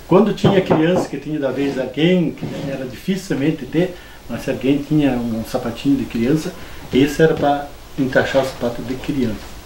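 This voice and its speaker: In a fairly high voice with ordinary pitch variation, a man speaks at a moderate pace, with audible room echo and noticeable background noise. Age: 60s. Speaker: farmer. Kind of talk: oral history interview. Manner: halting.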